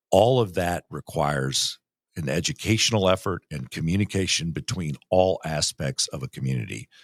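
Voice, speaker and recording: A man's very deep, low voice with vocal fry and lively intonation, at a moderate pace, in a dry, close sound with no echo. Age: 60s. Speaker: municipal league executive director. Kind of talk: interview. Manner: halting.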